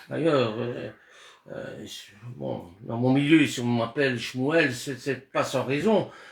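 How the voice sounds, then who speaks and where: A fairly slow pace from a man's voice. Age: 60s. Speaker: Bible study teacher. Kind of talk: religious discussion. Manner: halting, with repeated words.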